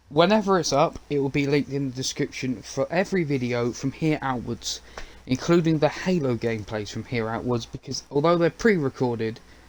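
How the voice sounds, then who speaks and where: A man speaks at a fairly quick pace with a fairly high pitch. Noticeable background noise runs underneath. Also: lively intonation. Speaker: gaming and media YouTuber. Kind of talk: casual livestream update. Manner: fast.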